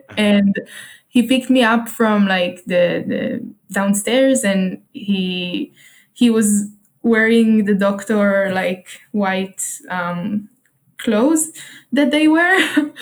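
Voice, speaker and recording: The voice is somewhat breathy and moves at a very slow pace. Its pitch varies in an ordinary way. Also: woman, fairly high pitch for a woman. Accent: Israeli. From Israel. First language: Hebrew. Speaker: solo traveler and entrepreneur. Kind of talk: casual interview. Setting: remote call. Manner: hesitant, many fillers.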